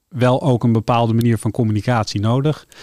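A man talks at a moderate pace with medium pitch and an ordinary speaking voice. The recording is very clean and dry, close with no echo, over a silent background. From Netherlands, Amsterdam. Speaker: telecom company director. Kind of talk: radio interview.

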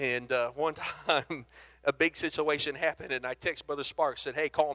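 This man's fairly high voice stays monotone and flat at a moderate pace, captured in a very clean recording against a silent background. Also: dry, close sound with no echo. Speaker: guest preacher. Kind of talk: sermon. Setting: church.

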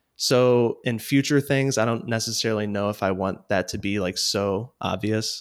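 Fairly even intonation from a man with a Midwestern American accent at medium pitch, in a very clean recording with a silent background. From US Midwest, Missouri. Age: 30s. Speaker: portrait photographer. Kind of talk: casual chat.

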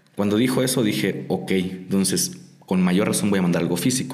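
Over noticeable background noise and audible room echo, a man speaks with a fairly low pitch. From Mexico, Tijuana. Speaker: lettering artist and muralist. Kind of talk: interview. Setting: studio.

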